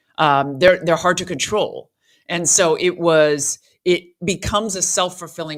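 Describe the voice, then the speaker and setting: A woman talks at a moderate pace with an American accent. It is an ordinary speaking voice, fairly low in pitch. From US, Southern California (Beverly Hills). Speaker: former lawyer sharing religious testimony. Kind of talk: testimony interview.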